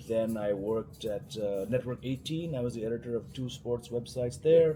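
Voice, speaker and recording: With an Indian accent, a man speaks at a moderate pace and medium pitch, his dark, mellow tone somewhat breathy and his pitch variation ordinary. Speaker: cricket journalist. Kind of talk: casual interview chat.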